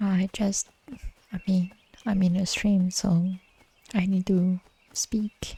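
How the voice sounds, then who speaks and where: The voice is quiet, moving at a very slow pace with long, frequent pauses. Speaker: video game streamer. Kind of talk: live gameplay stream. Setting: home stream. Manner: quiet, held back.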